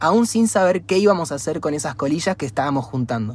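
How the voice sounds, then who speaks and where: A man speaks at a fairly quick pace. There is a somewhat breathy quality to his voice. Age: 20s. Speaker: environmental NGO founder. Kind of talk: interview.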